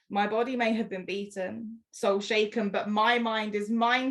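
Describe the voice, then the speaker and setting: A woman speaks at a moderate pace with a fairly high pitch, her intonation monotone and flat yet her tone passionate. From London. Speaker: spoken word poet. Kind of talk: spoken word poetry performance. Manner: passionate, powerful.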